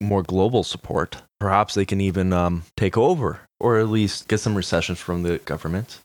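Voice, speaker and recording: In a very clean recording with a silent background, a man with an ordinary speaking voice and a Canadian accent speaks at a moderate pace with hardly any pauses, a fairly low pitch and fairly even intonation. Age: 20s. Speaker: podcast co-host. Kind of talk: casual chat.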